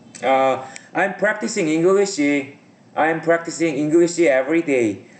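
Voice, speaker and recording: Someone with a non-native accent speaks at a fairly slow pace over noticeable background noise. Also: man, fairly high pitch for a man. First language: not English. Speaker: English learner, aviation certificate candidate. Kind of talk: conversation practice lesson. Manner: halting, many fillers and repetitions.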